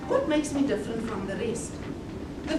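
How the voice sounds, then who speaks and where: Over noticeable background noise and audible room echo, a woman talks loudly at a high pitch. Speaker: motivational speaker. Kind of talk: conference talk. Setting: conference hall with audience. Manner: loud, projecting without a microphone; animated. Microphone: no microphone.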